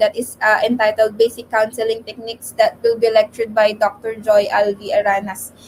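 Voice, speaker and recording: Over noticeable background noise, a woman speaks at a fairly quick pace in a fairly high voice with ordinary pitch variation. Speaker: mental health advocate. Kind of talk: radio interview. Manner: slight stutter.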